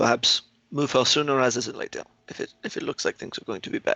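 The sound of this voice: A man talks fast at medium pitch, his tone bright and sharp with vocal fry. His intonation is fairly even, and the sound is dry and close with no echo.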